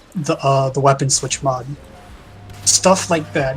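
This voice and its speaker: Music plays in the background as a man speaks at a fairly high pitch and moderate pace, with ordinary pitch variation. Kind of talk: casual livestream discussion.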